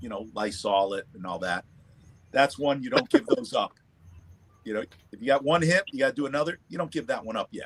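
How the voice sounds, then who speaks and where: Long, frequent pauses break up a man's speech, and his loudness swings a lot. His pitch is fairly high and ranges very widely, with vocal fry. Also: fairly quick pace, dry, close sound with no echo. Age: 50s. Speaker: livestream panel participant, cigar and whiskey enthusiast. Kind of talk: casual chat.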